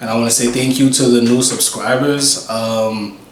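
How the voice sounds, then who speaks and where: A man speaks in a New York accent with monotone, flat intonation. Audible room echo and noticeable background noise surround him. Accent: New York City. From US Northeast, Brooklyn, New York. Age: 20s. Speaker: YouTuber. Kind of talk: casual Q and A vlog. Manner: casual, hesitant with many fillers.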